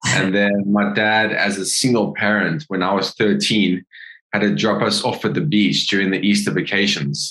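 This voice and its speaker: Bright, sharp tone from a man, fairly low in pitch with vocal fry, very even loudness, ordinary pitch variation and a moderate pace. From South Africa, East London. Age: 30s. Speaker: surf coach. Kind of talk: casual chat.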